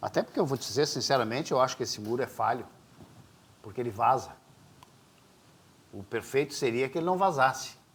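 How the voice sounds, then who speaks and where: A man at a medium pitch talks at a fairly quick pace with ordinary pitch variation. Long, frequent pauses break up his speech. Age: 60s. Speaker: podcast host. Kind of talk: casual interview chat.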